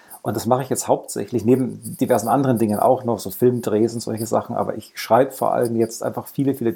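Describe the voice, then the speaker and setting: A man speaks very fast at medium pitch, with vocal fry and a dark, mellow tone. The recording is very clean with a silent background. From Lower Bavaria, Germany. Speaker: former games journalist, writer. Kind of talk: casual chat.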